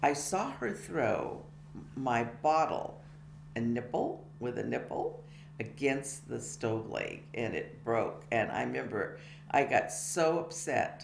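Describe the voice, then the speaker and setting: In a room with audible echo, a woman with an American accent speaks at a very slow pace. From California, USA (Tracy area). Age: 70s. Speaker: biography interviewee. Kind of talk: life-story interview. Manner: halting, many fillers.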